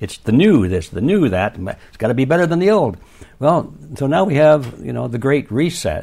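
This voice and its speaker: A man speaks with an American accent at a medium pitch and a moderate pace. His dark, mellow tone has vocal fry and very wide pitch swings. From US Midwest, Detroit. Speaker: author. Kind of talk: interview. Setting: remote call.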